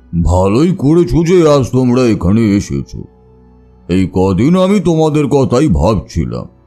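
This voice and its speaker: Over faint music in the background, a man uses a put-on character voice at a medium pitch, moving slowly with very wide pitch swings but very even loudness. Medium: audio drama. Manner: slow, reflective.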